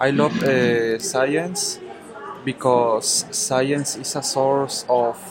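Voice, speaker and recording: With music in the background, a man talks at a very slow pace, medium pitch and ordinary pitch variation. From Mexico, Guadalajara. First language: Spanish. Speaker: university language student. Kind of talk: casual interview practice. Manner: halting.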